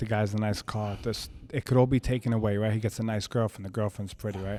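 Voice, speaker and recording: A man's medium-pitched voice with a New York accent, at a fairly quick pace, in dry, close sound with no echo. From Brooklyn, New York. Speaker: fitness trainer. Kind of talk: casual chat.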